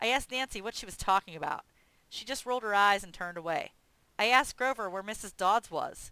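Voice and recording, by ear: A passage is read aloud in a natural voice.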